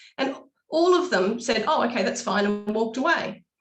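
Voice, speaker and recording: A woman with a New Zealand accent talks at a fairly high pitch and a fairly quick pace. Her voice is somewhat breathy and her intonation lively. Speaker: local party representative. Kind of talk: webinar panel talk.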